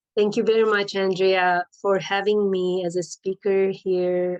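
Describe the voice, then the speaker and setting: Against a quiet background, a woman with a medium pitch speaks in a monotone, flat intonation. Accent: Turkish. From Turkey, Istanbul. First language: Turkish. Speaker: life coach. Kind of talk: personal storytelling.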